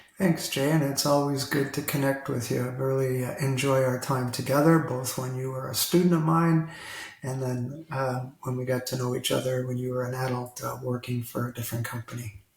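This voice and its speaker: Over noticeable background noise, a man with an Ontario accent talks at a fairly quick pace in a medium-pitched voice with fairly even intonation. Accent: Canadian English (Ontario). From Toronto, Canada. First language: Italian. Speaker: retired school district director. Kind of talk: interview conversation.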